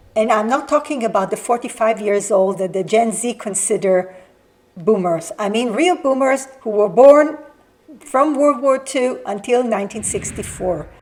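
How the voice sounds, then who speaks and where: A woman speaks at a moderate pace with lively intonation and a fairly high pitch. Noticeable background noise runs underneath. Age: 60s. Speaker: lifestyle vlogger. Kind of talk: scripted talk to camera.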